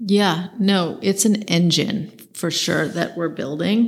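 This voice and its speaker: A somewhat breathy woman with an American accent at a fairly slow pace. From US West Coast, San Francisco. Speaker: architect. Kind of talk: interview.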